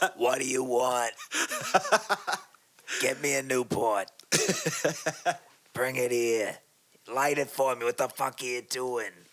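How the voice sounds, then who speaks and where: A loud, raspy put-on character voice from a man, medium in pitch, at a fairly slow pace with long, frequent pauses. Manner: loud, demanding.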